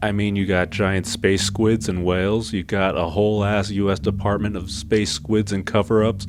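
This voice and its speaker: Noticeable background noise sits under the speech. The delivery is moderately paced with fairly even intonation. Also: man. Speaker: video essayist, cartoon reviewer. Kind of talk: video essay commentary. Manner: monotone.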